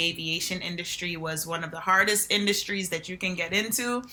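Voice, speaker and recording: The speaker has a New Jersey accent. The pace is fairly quick. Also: woman. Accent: New Jersey American. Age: 20s. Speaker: reality TV contestant. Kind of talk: interview. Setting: podcast.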